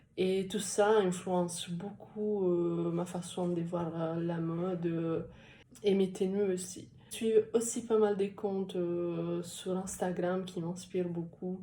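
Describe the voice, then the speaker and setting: Someone speaks very slowly in an Italian accent. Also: woman. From Italy. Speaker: social media manager and copywriter. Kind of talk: interview answer. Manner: hesitant, many filler sounds.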